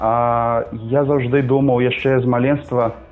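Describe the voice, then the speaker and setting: With music in the background, a man with a Brazilian accent speaks very slowly at a medium pitch in a monotone, flat intonation. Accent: Brazilian Portuguese accent in Belarusian. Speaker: co-host, language learner. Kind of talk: casual chat. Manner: halting.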